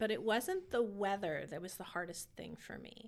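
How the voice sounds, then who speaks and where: With an American accent, a woman is speaking. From California. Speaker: pastor. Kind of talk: casual chat.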